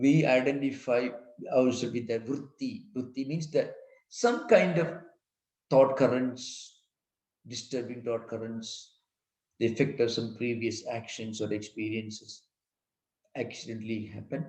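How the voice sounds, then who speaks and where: Fairly slow and somewhat breathy, a man speaks at a medium pitch with fairly even intonation and long, frequent pauses, with audible room echo. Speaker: monk and spiritual teacher. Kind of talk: lecture.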